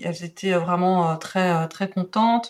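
A woman talks very slowly at a medium pitch with monotone, flat intonation. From Belgium. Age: 40s. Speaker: calligraphy teacher. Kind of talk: podcast interview. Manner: hesitant, many fillers.

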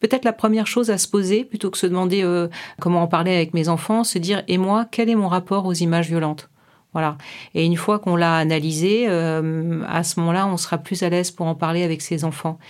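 An ordinary speaking voice from a woman, fairly low in pitch with fairly even intonation, on a very clean recording with a silent background. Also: fairly quick pace. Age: 50s. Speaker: clinical psychologist. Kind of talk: interview.

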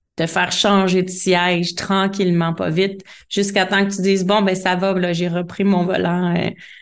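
A woman with a Quebec accent speaks at a fairly slow pace in a monotone, flat intonation. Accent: Québécois French. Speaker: life coach. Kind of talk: interview.

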